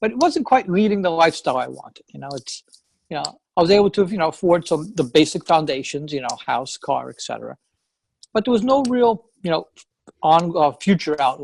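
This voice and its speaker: With a strong New York accent, a man talks at a fairly quick pace in a high pitch, his intonation lively and his loudness swinging widely. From New York, Long Island. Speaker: real estate investor. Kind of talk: interview. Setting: call.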